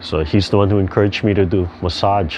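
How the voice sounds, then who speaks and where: Against noticeable background noise, a man with a Hawaiian accent talks in a relaxed tone with a very deep, low pitch and fairly even intonation. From Hawaii (Hilo, Big Island). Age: 60s. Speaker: tai chi instructor. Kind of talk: casual talk about his background. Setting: video call. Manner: relaxed, halting with fillers.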